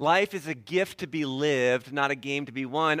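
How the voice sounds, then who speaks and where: A man with a normal speaking voice and a fairly high pitch talks at a fairly slow pace with lively intonation. The recording is very clean, with a silent background. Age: 40s. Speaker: pastor. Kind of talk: sermon.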